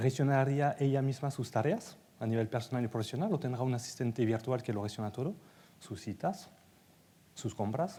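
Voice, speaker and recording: This man talks at a moderate pace with a French accent. His tone is dark and mellow, and somewhat breathy. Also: medium pitch for a man, ordinary pitch variation. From France. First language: French (speaking Spanish). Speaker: data executive and conference speaker. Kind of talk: conference talk.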